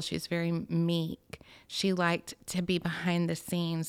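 A woman's fairly low voice in a Southern US accent, monotone and flat in intonation, on a very clean recording with a silent background. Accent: Southern US (Georgia). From US South, Georgia (Alpharetta). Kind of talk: testimony.

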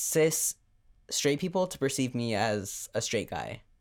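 His intonation is lively. The man talks at a moderate pace. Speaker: podcast co-host. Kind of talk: casual chat.

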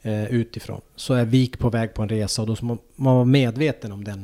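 In a very clean recording with a silent background, a man speaks with a medium pitch, a dark, mellow tone and fairly even intonation. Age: 40s. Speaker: former ice hockey player and coach. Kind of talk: casual interview.

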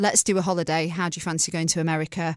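A woman speaks in an English accent. The recording is very clean with a silent background. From England, small town. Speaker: podcast co-host and radio presenter. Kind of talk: casual chat.

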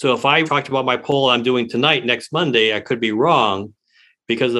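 With an American accent, a man speaks in an unremarkable speaking voice at a medium pitch, using ordinary pitch variation and a fairly quick pace. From Detroit, Michigan. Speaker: pollster. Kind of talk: interview.

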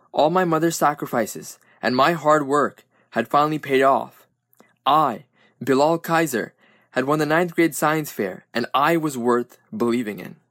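A man with a plain, everyday voice and an American accent speaks at a moderate pace with fairly high pitch and ordinary pitch variation, on a very clean recording with a silent background and a dry, close sound with no echo. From Brooklyn, New York. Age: 20s. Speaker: student author. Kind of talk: reading aloud.

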